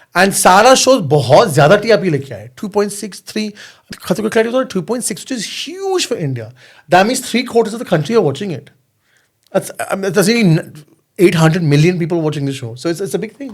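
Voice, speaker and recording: This man's voice is high-pitched, with lively intonation. His loudness swings widely. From London, UK. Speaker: reality TV contestant and model. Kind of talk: podcast interview answer. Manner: code-switching between Hindi and English.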